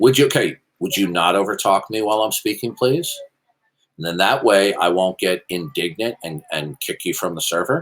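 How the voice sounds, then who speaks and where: The pace is moderate. The intonation is lively. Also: man, fairly low pitch for a man. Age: 60s. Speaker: apologetics debater. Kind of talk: heated debate. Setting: voice chat server. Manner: formal.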